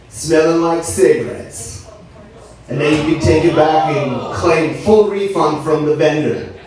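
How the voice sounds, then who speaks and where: A man at a fairly slow pace amid noticeable background noise and audible room echo. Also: fairly high pitch for a man, ordinary pitch variation. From Turkey. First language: Turkish. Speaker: stand-up comedian. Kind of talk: stand-up. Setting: stage with audience. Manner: animated.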